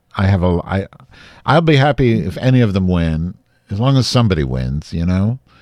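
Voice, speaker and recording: A man speaks in a very deep, low pitch with an animated tone. His pitch swings very widely as he moves at a fairly quick pace. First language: English, not a Dutch speaker. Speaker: podcast host. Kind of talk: casual chat.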